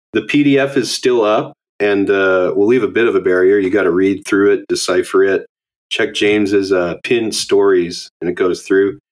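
Keeping his loudness very even, a man with a western Canadian accent speaks at a moderate pace. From Alberta, Canada (Edmonton). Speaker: podcast host. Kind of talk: casual chat. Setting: video call.

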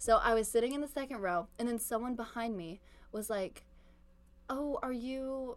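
A woman speaks in an animated tone with an American accent. Her voice is fairly high in pitch. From Virginia. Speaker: podcast co-host. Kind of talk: casual chat.

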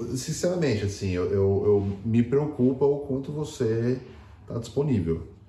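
Audible room echo surrounds a man speaking at a moderate pace. His intonation is lively. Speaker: podcast co-host. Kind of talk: casual chat.

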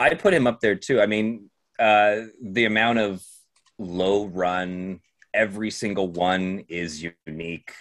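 Against a quiet background, a man with a plain, everyday voice and a fairly low pitch speaks at a fairly slow pace with ordinary pitch variation. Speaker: special co-host. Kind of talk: casual chat. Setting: video call.

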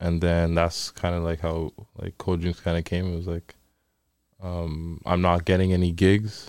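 With a Toronto accent, a man speaks in a monotone, flat delivery at a very deep, low pitch on a very clean recording with a silent background. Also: moderate pace. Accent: Toronto Canadian English. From Toronto, Canada. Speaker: DJ and event promoter. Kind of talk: casual chat.

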